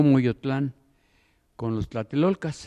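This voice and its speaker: At a fairly slow pace, a man speaks with a medium pitch and a dark, mellow tone against a quiet background. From Mexico City. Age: 80s+. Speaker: audience member, local resident. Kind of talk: audience comment. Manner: halting.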